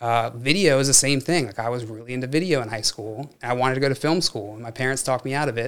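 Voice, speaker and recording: A man talks at a very fast pace with hardly any pauses. His pitch sits in the medium range and varies in an ordinary way. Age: 20s. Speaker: tech executive. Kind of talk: casual chat.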